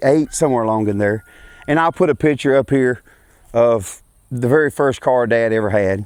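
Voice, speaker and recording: A man with a Louisiana accent speaks at a moderate pace and medium pitch, with ordinary pitch variation, very even loudness, and a dry, close sound with no echo. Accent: US Southern (Louisiana). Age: 40s. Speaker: racing vlogger and farmer. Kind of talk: casual vlog introduction. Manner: halting, with many fillers.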